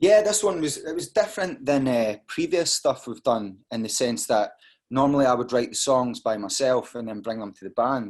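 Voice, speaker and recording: A man speaks with a Scottish accent at a moderate pace and a medium pitch. His pitch swings very widely against a quiet background. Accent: Scottish (Fife). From Scotland, Dunfermline, Fife. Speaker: rock band singer. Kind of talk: interview.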